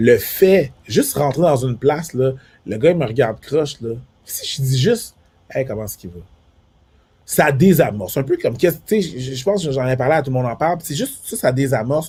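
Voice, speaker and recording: Fairly high-pitched with lively intonation, a man talks at a fairly quick pace, and his loudness swings widely. His tone is dark and mellow and somewhat breathy. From Quebec, Montreal, Haitian family. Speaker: comedian. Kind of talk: casual chat. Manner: repeats words, many fillers.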